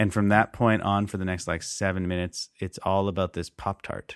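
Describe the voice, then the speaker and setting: This man talks with a very deep, low voice at a moderate speed. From Canada. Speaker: podcast co-host. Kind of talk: casual chat.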